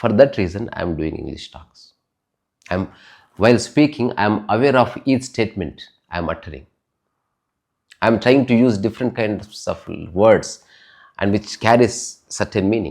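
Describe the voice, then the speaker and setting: A man with a Telugu accent at moderate pace and medium pitch, with ordinary pitch variation, big swings in loudness and long, frequent pauses, on a very clean recording with a silent background. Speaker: spiritual talk podcaster. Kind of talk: spiritual talk.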